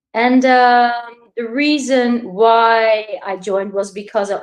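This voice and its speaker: A woman speaks with a Dutch accent. Her pitch is fairly high. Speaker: crypto investor. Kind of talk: interview. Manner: halting.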